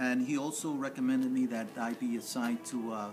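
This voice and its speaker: Over music in the background, a man with an American accent and a medium pitch talks at a fairly quick pace with ordinary pitch variation. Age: 60s. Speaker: former police officer. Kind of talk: interview.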